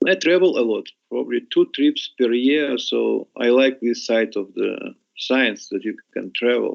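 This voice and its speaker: A man speaks fairly slowly with a Russian accent. The sound is dry and close, without any echo. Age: 60s. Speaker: scientist. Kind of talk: interview. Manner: halting.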